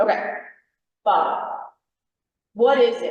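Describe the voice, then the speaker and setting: A woman with an American accent speaks loudly with very wide pitch swings amid audible room echo. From New York. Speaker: federal agency presenter. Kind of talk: workshop presentation.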